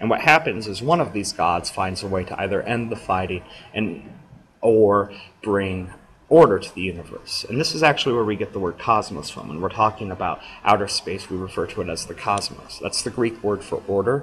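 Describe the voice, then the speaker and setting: A man with a fairly low pitch speaks at a fairly quick pace with ordinary pitch variation. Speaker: teacher. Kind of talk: lecture. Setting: recorded screencast lecture. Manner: fast.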